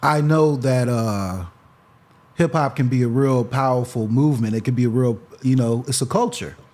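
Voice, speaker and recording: This is a normal speaking voice with an American accent, delivered at a moderate pace with ordinary pitch variation. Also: man, medium pitch for a man. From Freeport, Illinois. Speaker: rapper. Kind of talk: casual interview chat.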